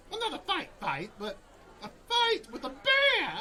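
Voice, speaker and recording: A man does a put-on character voice at a moderate pace over clear background noise. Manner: rambling, energetic.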